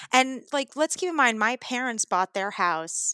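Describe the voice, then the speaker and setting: A woman's fairly high, bright, sharp voice with an American accent at a moderate pace, dry and close with no echo, in a very clean recording with a silent background. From New York City (Brooklyn). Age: 30s. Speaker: improv actor. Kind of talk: casual chat.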